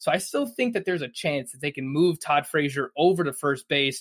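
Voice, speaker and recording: A man's ordinary speaking voice, fairly high in pitch, at a fairly quick pace with fairly even intonation, in a dry, close, very clean recording with a silent background and no echo. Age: 20s. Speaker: fantasy baseball analyst. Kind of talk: casual chat.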